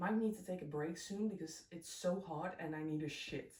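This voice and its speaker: With a Dutch accent, a woman speaks at a moderate pace in a medium pitch with ordinary pitch variation. Audible room echo surrounds the voice. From Netherlands. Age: 20s. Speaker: crochet vlogger. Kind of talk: casual chat. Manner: animated.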